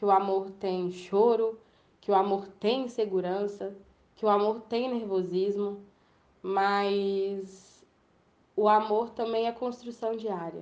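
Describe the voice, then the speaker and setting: Very slow, fairly even intonation from a woman. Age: 20s. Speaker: communications intern sharing personal testimony. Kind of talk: personal testimony monologue.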